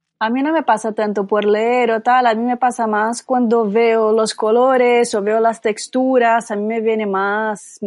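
A woman speaks at a fairly slow pace, her fairly high pitch held in a fairly even intonation. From Brazil. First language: Portuguese (speaking Spanish). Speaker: yarn shop owner and festival organiser. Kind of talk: casual chat.

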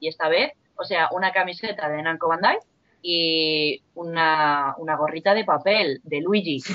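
The woman talks at a fairly slow pace in a fairly low pitch. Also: ordinary pitch variation. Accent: Spanish. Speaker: podcast panelist. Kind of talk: casual chat.

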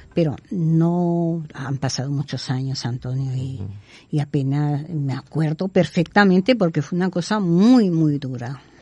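A woman speaks at a fairly slow pace in a very deep, low pitch. Her tone is dark, mellow and somewhat breathy, with lively intonation. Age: 70s. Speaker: psychic medium and healer. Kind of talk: interview. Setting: studio.

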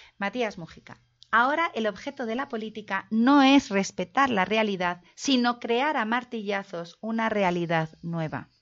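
A woman speaks in a normal speaking voice at a fairly high pitch. Her intonation is lively. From Navarre, Pamplona. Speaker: linguist and victims' association president. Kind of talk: lecture.

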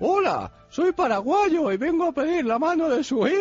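Putting on a character voice, a man speaks at an extremely high pitch and a moderate pace, with faint music in the background. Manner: funny, cheeky.

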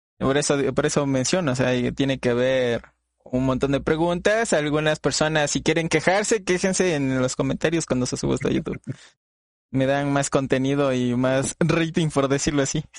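In an unremarkable speaking voice, a man talks at a moderate pace with fairly high pitch, ordinary pitch variation, and very even loudness. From Latin America, not Mexico. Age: 20s. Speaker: podcast host and streamer. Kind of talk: casual interview chat.

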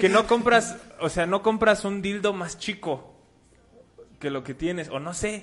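A man with a Mexican accent, high in pitch, at a fairly slow pace with ordinary pitch variation and long, frequent pauses. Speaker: comedian co-host. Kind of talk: casual chat.

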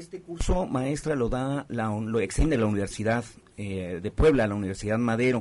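Talking at a fairly quick pace, a man uses an ordinary speaking voice at medium pitch with ordinary pitch variation. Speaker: radio co-host. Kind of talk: radio talk show.

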